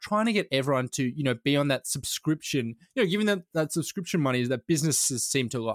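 A man with an Australian accent at a very fast pace and hardly any pauses, fairly high in pitch with lively intonation and very even loudness, in a very clean, dry, close recording with a silent background and no echo. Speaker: journalist and podcast co-host. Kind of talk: casual chat.

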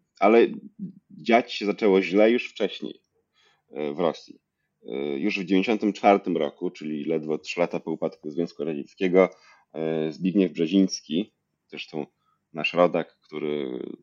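A man talks in a very deep, low pitch at a fairly slow pace. He leaves long, frequent pauses, and his pitch varies in an ordinary way. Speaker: history PhD student. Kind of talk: interview.

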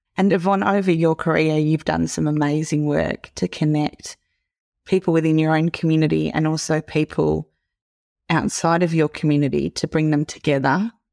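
An Australian accent with fairly even intonation and very even loudness. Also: woman, very deep, low pitch for a woman, moderate pace, dry, close sound with no echo, very clean recording, silent background. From regional Australia. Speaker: podcast host. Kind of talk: interview with scripted intro.

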